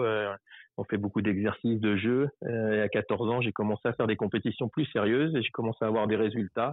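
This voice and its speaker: This is a man with a fairly low pitch. His intonation stays fairly even. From France, Paris region. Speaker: long-distance cyclist. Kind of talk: interview.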